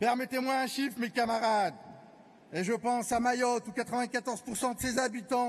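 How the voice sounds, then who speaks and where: Speaking at a moderate pace, a man uses an extremely high pitch with fairly even intonation. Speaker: trade union delegate. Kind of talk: congress speech. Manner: impassioned oratory.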